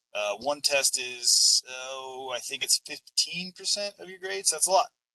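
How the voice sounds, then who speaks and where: A man talks at a moderate pace, his sound dry and close with no echo. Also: big swings in loudness. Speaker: math teacher. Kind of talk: lecture. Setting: online class from a van.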